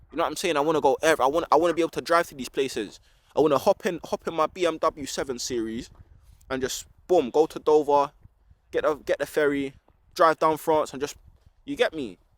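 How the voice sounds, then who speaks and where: On a very clean recording with a silent background and a dry, close sound with no echo, a man with a London accent talks very fast at a fairly high pitch with ordinary pitch variation and long, frequent pauses. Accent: London Multicultural English. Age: 20s. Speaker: vlogger. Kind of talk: casual vlog monologue. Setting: outdoors in a park.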